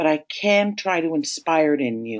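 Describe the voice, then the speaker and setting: Against a quiet background, a woman with a Toronto accent talks at a fairly slow pace with very wide pitch swings. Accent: Canadian (Toronto, Ontario). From Canada, Toronto, Ontario. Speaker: sales trainer. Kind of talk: webinar presentation. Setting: online webinar.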